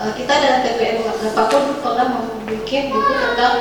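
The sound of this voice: In a room with audible echo, a woman with a fairly high pitch speaks at a moderate pace with lively intonation.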